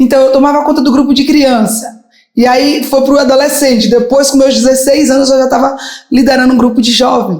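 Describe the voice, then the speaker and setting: A woman speaks at a high pitch. Her voice carries an audible room echo. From Brazil, Bahia. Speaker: gospel singer. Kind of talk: interview testimony.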